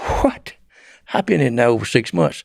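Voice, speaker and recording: A man's medium-pitched voice makes very wide pitch swings in a very clean recording with a silent background. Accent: Southern US. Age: 70s. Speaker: former drug smuggler. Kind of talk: interview storytelling. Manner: halting.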